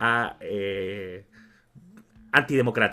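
His tone is bright and sharp. The man's pitch varies in an ordinary way. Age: 20s. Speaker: podcast co-host, law graduate. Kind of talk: casual chat.

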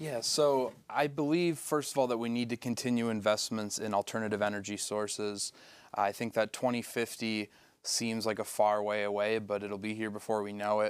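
A man with an ordinary speaking voice and an American accent, fairly low in pitch, fairly even in intonation, at a moderate pace, in a very clean recording with a silent background. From Michigan. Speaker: political candidate. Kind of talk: candidate forum.

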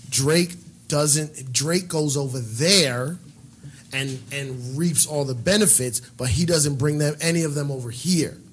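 Speaking at a fairly slow pace, a man with a normal speaking voice has a fairly high pitch and ordinary pitch variation. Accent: American. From New York. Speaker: DJ and comedian. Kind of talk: casual chat.

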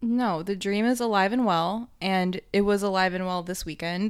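In a very clean recording with a silent background, a woman with a plain, everyday voice speaks at a fairly slow pace, with medium pitch and fairly even intonation. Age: 20s. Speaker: podcast co-host. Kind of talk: casual chat. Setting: home office.

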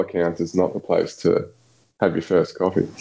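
A man talks in an Australian accent. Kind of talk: casual chat.

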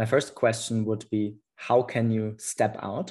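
At a very slow pace, a man with a non-native accent speaks at medium pitch in a monotone, flat intonation, over a quiet background. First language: not English. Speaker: podcast host. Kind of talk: casual chat. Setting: video call.

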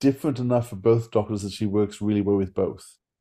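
A man speaks with an Australian accent, fairly low in pitch. His tone is dark and mellow, with ordinary pitch variation. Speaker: podcast co-host. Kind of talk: interview. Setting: video call.

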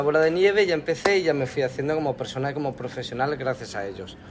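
Over noticeable background noise, a man with a fairly high-pitched voice talks at a very fast pace. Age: 30s. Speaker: makeup artist. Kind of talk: interview.

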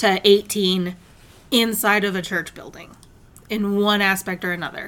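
Bright and sharp in tone, a woman with an American accent speaks at medium pitch and a very slow pace. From Michigan, suburb of Detroit. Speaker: podcast co-host, guest. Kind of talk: casual chat.

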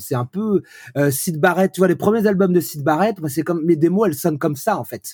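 Through a very clean recording with a silent background, a man speaks at a moderate pace in a somewhat breathy, dark, mellow tone with ordinary pitch variation. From France, Brittany (Vannes). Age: 40s. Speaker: pop singer-songwriter. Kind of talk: casual interview.

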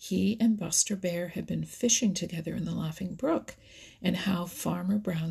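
Pitch varies in an ordinary way as someone is reading aloud in a natural voice.

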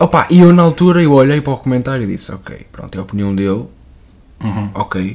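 This man's voice sits at a medium pitch but swings very widely in pitch and makes big jumps in loudness. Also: fairly quick pace. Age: 20s. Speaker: musician. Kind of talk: casual chat.

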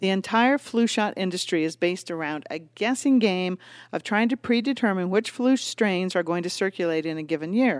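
A woman's medium-pitched voice, an unremarkable speaking voice, dry and close with no echo on a very clean recording with a silent background. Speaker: podcast co-host. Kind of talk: casual co-hosted health talk.

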